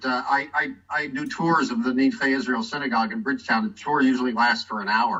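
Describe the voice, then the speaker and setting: A man with an American accent and a fairly high pitch, at a fairly quick pace with very wide pitch swings. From United States. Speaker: tour guide and local historian. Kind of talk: presentation on a video call. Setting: video call. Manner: halting, many fillers and restarts.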